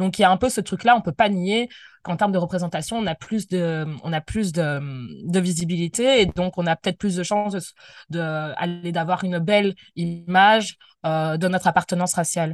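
The pitch shows ordinary variation at a moderate pace. The background is quiet. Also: woman, fairly low pitch for a woman, dry, close sound with no echo. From Belgium, Brussels. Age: 20s. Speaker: anti-racism activist. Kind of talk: interview. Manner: hesitant, many fillers.

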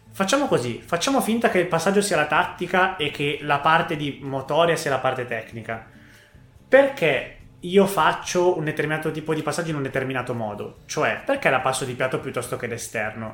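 A man's intonation is lively as he speaks at a fairly quick pace over background music. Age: 20s. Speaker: youth football coach. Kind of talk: podcast interview.

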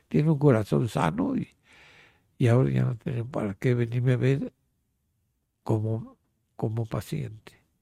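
On a very clean recording with a silent background, a man of medium pitch speaks at a fairly slow pace with long, frequent pauses, his voice somewhat breathy and his intonation lively. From Mexico City. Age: 80s+. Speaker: retired grandfather, amateur painter. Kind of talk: life-story interview. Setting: at home.

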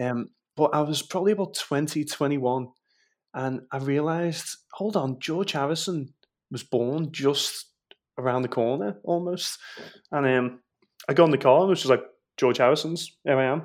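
A Liverpool accent at a moderate pace, with ordinary pitch variation and long, frequent pauses. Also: man, fairly high pitch for a man. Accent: Scouse (Liverpool). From Liverpool, England (Walton). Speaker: Beatles tour guide. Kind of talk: casual interview.

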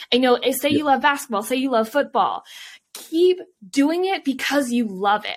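A woman's high pitch and lively intonation at a moderate pace. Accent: Canadian. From Vancouver, Canada. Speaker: Olympic swimmer and author. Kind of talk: casual interview. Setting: video call.

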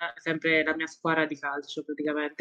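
A woman is speaking. Her pitch is fairly low. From Marche, central Italy. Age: 20s. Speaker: esports player and footballer. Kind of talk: casual interview.

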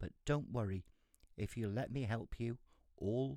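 At a fairly slow pace, a man with a fairly low pitch and ordinary pitch variation speaks in an unremarkable speaking voice. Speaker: storyteller reading a fairy tale aloud. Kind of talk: fairy-tale narration, reading aloud.

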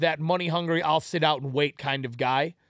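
Fairly high male speech, very cleanly recorded against a silent background. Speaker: podcast host. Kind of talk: casual banter. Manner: animated, profane.

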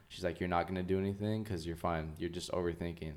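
Speaking with an American accent, a man uses a very deep, low pitch and fairly even intonation. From US West Coast (Oxnard, California). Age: 20s. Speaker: children's author and illustrator. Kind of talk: casual interview chat.

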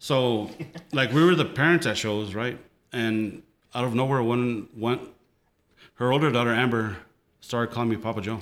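With an American accent, a man talks at a moderate pace and medium pitch, using ordinary pitch variation and long, frequent pauses. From El Paso, Texas (Lower Valley). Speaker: photographer. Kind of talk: casual chat. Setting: home metal shop.

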